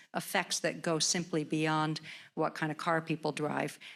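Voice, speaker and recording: A woman with an American accent speaks at a moderate pace in a very deep, low pitch. The recording is very clean, with a silent background. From New Jersey. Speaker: lecturer, university professor. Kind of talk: Q&A after a public lecture.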